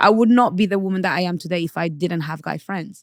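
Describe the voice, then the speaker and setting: A woman with a Portuguese accent speaks very fast, with lively intonation. The recording is very clean, with a silent background and a dry, close sound with no echo. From Portugal, Angolan parents; UK from age 12. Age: 30s. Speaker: podcast guest, women's relationship commentator. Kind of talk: casual interview. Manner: bold, assertive.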